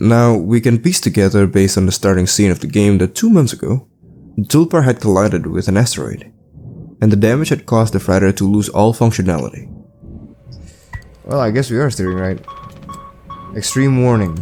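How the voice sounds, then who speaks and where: A man with a dark, mellow tone and fairly low pitch talks at a fairly quick pace, using ordinary pitch variation and long, frequent pauses. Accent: non-native. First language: not English. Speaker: gaming YouTuber. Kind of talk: video essay narration with gameplay commentary. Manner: casual, conversational.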